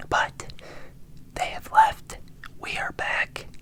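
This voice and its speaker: Over noticeable background noise, the speaker is whispering. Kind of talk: ASMR whispered unboxing. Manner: whispered.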